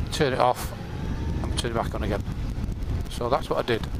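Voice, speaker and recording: A man's voice comes through dry with no echo, set against loud background noise. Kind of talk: casual vlog chat. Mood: humorous, chatty. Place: motorbike.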